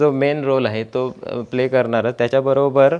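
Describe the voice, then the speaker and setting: This man has an ordinary speaking voice, medium in pitch, with fairly even intonation. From Konkan, Sindhudurg district, Maharashtra. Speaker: cow farmer and ayurvedic product maker. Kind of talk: interview.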